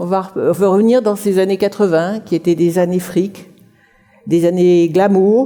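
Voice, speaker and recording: A woman speaks at a fairly slow pace with a medium pitch. Noticeable background noise sits behind her. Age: 60s. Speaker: writer giving a career talk. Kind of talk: conference talk.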